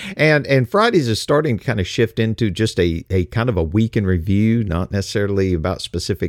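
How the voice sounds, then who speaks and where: Man with a Texas accent and a relaxed tone, lively intonation at a moderate pace, dry, close sound with no echo. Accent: Texas Southern US. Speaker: radio host. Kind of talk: casual newsreading-style show opening, informal address to listeners. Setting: streaming radio show, solo. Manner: relaxed, folksy, conversational.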